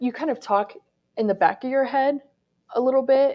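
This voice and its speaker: A woman is speaking. Her pace is fairly quick. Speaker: radio reporter. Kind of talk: talk to students. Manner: projecting.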